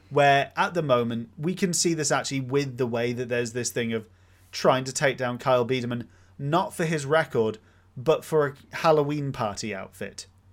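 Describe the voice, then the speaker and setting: A man uses a normal speaking voice at a medium pitch and moderate pace, with ordinary pitch variation. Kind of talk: casual chat.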